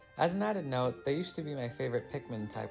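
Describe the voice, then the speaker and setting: A man talks at a very fast pace with lively intonation. Music plays in the background. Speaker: video game reviewer. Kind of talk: casual commentary narration.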